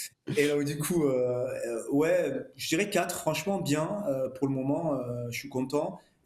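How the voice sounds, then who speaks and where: Pitched fairly high, a man speaks at a very slow pace with ordinary pitch variation. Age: 50s. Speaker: amateur marathon runner. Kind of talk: casual chat. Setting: studio.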